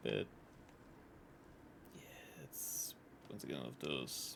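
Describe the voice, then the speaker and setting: A whispering man, fairly slow, with long, frequent pauses. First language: German. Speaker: video game streamer. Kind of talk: live gameplay commentary. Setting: live stream.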